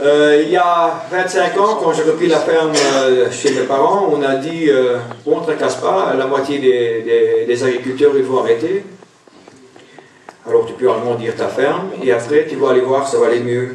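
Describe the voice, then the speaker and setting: Noticeable background noise and audible room echo fill the recording. The speaker goes at a fairly slow pace with ordinary pitch variation. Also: man, fairly high pitch for a man. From Belgium. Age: 40s. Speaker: dairy farmer. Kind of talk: speech at a farmers' congress. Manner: halting, many hesitations.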